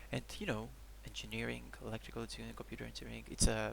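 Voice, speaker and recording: Very fast whispering over noticeable background noise. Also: man. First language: Greek. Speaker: video journal vlogger. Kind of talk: personal video diary. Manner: halting.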